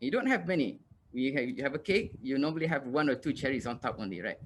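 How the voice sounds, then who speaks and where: The recording is very clean, with a silent background. A man with a fairly high voice talks at a fairly quick pace, his pitch varying in an ordinary way. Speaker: university lecturer. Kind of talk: lecture. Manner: fast.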